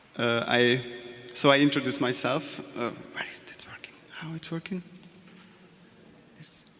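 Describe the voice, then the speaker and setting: Amid noticeable background noise and audible room echo, a man with a fairly high pitch and ordinary pitch variation speaks at a fairly slow pace, with long, frequent pauses and big swings in loudness. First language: Hungarian. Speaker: art director. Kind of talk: conference presentation. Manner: halting.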